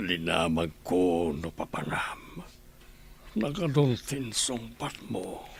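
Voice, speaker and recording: In a put-on character voice, a man speaks at a very slow pace with a very deep, low pitch and very wide pitch swings over clear background noise. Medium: audio drama.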